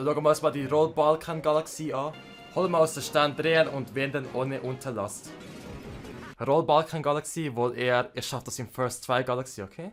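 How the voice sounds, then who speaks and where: A man with a Swiss accent speaks at a moderate pace and a fairly high pitch while music plays in the background. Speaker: gaming YouTuber. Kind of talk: let's play game commentary. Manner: excitable, energetic.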